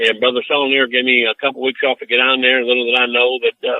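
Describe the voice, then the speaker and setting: A man talks at a very fast pace with an American accent. His pitch is medium. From US Midwest, southwest Detroit. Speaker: preacher. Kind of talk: interview testimony. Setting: podcast interview. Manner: animated, preachy.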